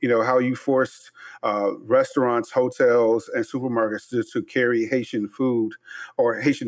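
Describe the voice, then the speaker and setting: A man with an American accent has an unremarkable speaking voice at medium pitch. He keeps a moderate pace and fairly even intonation. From Chicago. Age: 50s. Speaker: chef and podcast host. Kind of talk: interview.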